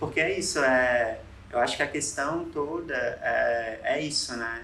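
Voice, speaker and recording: A man talks with a fairly high pitch and ordinary pitch variation. The room echo is audible. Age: 20s. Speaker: designer. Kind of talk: casual chat. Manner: halting.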